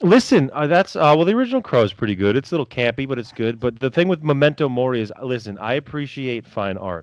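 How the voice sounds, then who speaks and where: The delivery is very fast, with lively intonation and hardly any pauses. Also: man, medium pitch for a man. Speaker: comics podcast co-host. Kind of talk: casual chat. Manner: halting.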